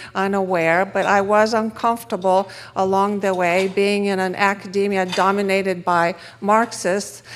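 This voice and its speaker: The speaker has a Romanian accent and keeps a moderate pace. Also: woman. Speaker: economist speaker. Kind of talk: conference talk.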